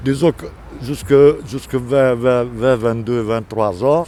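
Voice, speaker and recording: At a fairly slow pace, a man speaks in a dark, mellow tone at a medium pitch. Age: 80s+. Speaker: street interviewee. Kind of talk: street interview. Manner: halting, repeats words.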